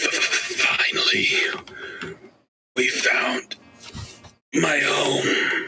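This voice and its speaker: A man puts on a character voice, pitched extremely high. The sound is raspy throughout. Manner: eerie.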